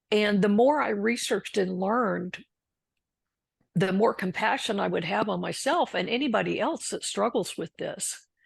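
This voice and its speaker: A fairly high-pitched woman's voice with vocal fry and ordinary pitch variation, at a moderate pace against a quiet background. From Texas. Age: 60s. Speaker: recovering alcoholic and author. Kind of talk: interview testimony.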